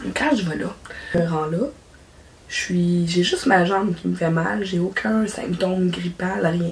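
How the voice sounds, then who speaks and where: Amid noticeable background noise, a woman with a Quebec accent speaks very slowly at a fairly low pitch, with ordinary pitch variation and long, frequent pauses. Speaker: craft YouTuber. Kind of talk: casual vlog chat. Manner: halting.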